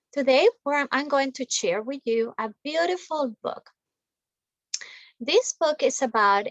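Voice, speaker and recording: Recorded with a dry, close sound and no echo, a woman speaks at a high pitch with lively intonation. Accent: Spanish. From Colombia. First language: Spanish. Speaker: school teacher. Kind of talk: reading aloud; classroom talk to children.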